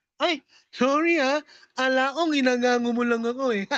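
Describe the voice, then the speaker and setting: A woman's put-on character voice, nasal and high-pitched, with fairly even intonation at a moderate pace, in a dry, close sound with no echo. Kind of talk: colloquial. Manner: apologetic.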